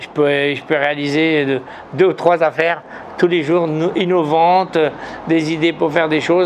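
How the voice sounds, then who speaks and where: A man speaks at a fairly high pitch with fairly even intonation. There is noticeable noise in the background. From Morocco. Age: 70s. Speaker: businessman and writer. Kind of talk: interview. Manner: halting, many repetitions.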